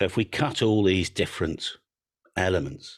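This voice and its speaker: Speaking with an English accent, the man has a very deep, low pitch. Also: very clean recording, silent background. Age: 60s. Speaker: antenna business owner, radio amateur. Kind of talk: presentation.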